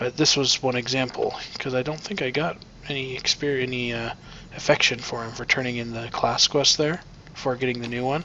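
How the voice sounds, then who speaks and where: Fairly even in intonation, a man speaks with an American accent over noticeable background noise. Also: medium pitch for a man, fairly quick pace. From US Midwest. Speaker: gameplay video creator. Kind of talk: let's play commentary. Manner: casual, conversational.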